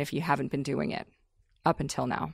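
A woman speaks with vocal fry. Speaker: podcast host. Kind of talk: interview.

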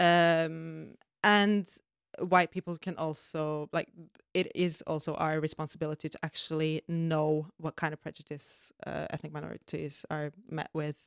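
In a Norwegian accent, a woman speaks at a fairly slow pace with a very deep, low pitch and monotone, flat intonation, the sound dry and close with no echo on a very clean recording with a silent background. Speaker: podcast co-host. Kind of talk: casual chat.

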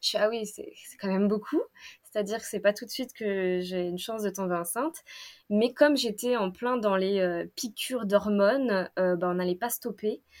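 At a moderate pace, a woman talks with medium pitch and ordinary pitch variation. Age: 30s. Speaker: illustrator and breastfeeding mother. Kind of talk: personal testimony interview. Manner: hesitant, many fillers and repetitions.

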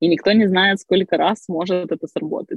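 Fairly even in intonation and medium in pitch, a woman speaks at a very fast pace. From Crimea, Ukraine. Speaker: online school co-founder. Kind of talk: interview. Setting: video call from a car.

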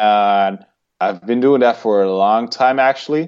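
Over a quiet background, a man with a Dutch accent speaks at a medium pitch and moderate pace with ordinary pitch variation. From Netherlands. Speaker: vegan bodybuilder. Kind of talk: interview. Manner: halting.

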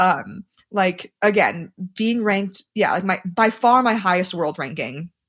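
Using an unremarkable speaking voice, a woman talks at a fairly slow pace and medium pitch with ordinary pitch variation. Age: 30s. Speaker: Olympic middle-distance runner. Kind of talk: casual interview.

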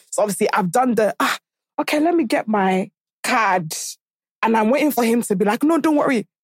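A woman's animated, fairly quick delivery in a British accent, dry and close with no echo. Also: fairly high pitch for a woman, lively intonation, very even loudness. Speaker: podcaster. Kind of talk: casual chat.

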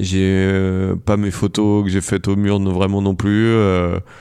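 Here a man talks very slowly at a fairly low pitch. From France, countryside. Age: 30s. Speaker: photographer and film director. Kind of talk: casual chat. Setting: home recording studio. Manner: halting, many fillers and repetitions.

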